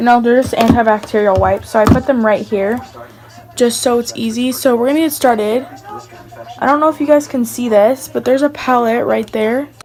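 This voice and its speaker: With noticeable background noise behind her, a woman talks at a fairly quick pace in a high pitch with fairly even intonation. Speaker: beauty vlogger. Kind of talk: makeup collection tutorial. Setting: voiceover at home. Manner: casual, chatty with fillers.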